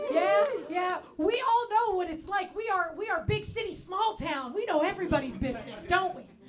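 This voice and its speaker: With an American accent and lively intonation, a woman talks at an extremely high pitch amid audible room echo. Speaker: comedian. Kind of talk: stand-up. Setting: stage with audience.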